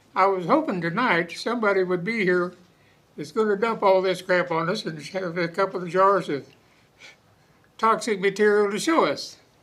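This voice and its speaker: With a rural Oklahoma accent, a man speaks at a moderate pace in a high pitch with ordinary pitch variation. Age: 80s+. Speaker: local resident. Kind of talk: public comment at town meeting.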